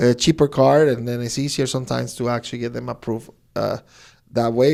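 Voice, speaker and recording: On a very clean recording with a silent background, a man talks at a fairly quick pace and medium pitch with ordinary pitch variation. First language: not English. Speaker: podcast host. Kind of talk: casual interview. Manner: halting, self-correcting.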